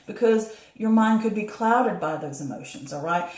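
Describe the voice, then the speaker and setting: A woman speaks at a fairly quick pace in a medium pitch with ordinary pitch variation, and the room echo is audible. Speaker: tarot reader. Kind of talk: tarot reading to camera. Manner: fast; stumbling over words.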